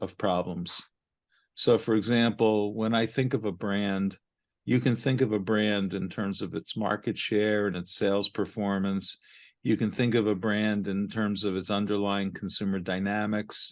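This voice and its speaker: Over a quiet background, a man with a Brooklyn accent talks at a moderate pace in a fairly low pitch with monotone, flat intonation. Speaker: marketing and research consultant. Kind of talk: podcast interview.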